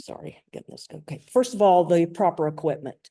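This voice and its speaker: The voice has a dark, mellow tone and a North Carolina accent. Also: woman. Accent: Southern US, North Carolina. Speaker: lawyer and sports photographer. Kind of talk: presentation.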